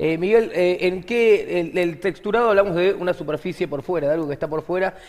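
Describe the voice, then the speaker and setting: At a fairly quick pace, a man with a high pitch talks with ordinary pitch variation. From Argentina. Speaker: comedian and podcast host; comedian, podcast host. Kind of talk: casual chat. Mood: playful, joking. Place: studio.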